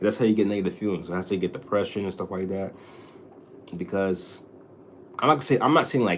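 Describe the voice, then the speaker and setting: A man at a very fast pace, with long, frequent pauses. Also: fairly low pitch for a man, ordinary pitch variation. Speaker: livestreamer. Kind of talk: casual livestream chat. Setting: home livestream. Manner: stuttering.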